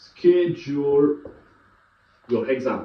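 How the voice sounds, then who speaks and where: Speaking with a French accent, a man has a fairly high pitch, and the room echo is audible. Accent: French accent, non-native English. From France. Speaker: IT educator / YouTuber. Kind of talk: tutorial. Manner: halting, many filler sounds.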